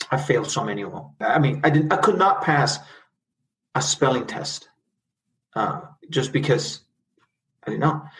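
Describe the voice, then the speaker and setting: A Spanish accent at a moderate pace, with big swings in loudness, long and frequent pauses, and ordinary pitch variation. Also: man, fairly high pitch for a man. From El Salvador (San Salvador), then Los Angeles from age 12. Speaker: corporate lawyer, immigrant. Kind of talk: interview, personal life story.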